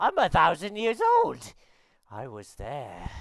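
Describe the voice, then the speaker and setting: A put-on character voice sits at a low-to-middle pitch. It goes at a fairly slow pace. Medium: actual play. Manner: rambling, grandfatherly.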